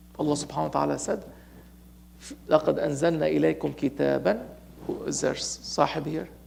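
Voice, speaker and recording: A man is speaking. He has a Lebanese accent. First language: Arabic. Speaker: Sufi sheikh, religious teacher. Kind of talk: sermon. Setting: mosque gathering, streamed online. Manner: animated; halting.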